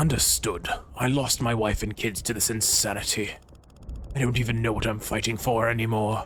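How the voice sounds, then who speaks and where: A man's gravelly, put-on character voice at a medium pitch, moderate pace, with light background noise. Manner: weary, grieving.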